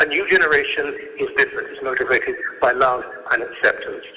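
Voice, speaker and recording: Moderate pace from a man, noticeable background noise all around. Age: 60s. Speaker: author and columnist, panelist. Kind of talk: panel discussion talk. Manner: halting, many repeated words.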